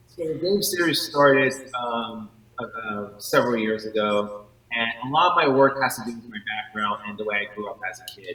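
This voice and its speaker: Music plays in the background as a man speaks with big swings in loudness. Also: medium pitch for a man, lively intonation, moderate pace. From New York. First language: not English. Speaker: artist. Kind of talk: interview.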